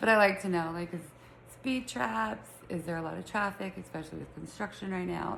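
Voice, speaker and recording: Her voice sits at a fairly low pitch with vocal fry as this woman speaks at a moderate pace with a Utah accent. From Utah, Salt Lake City. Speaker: podcast host. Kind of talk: casual chat. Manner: chatty, filler-heavy.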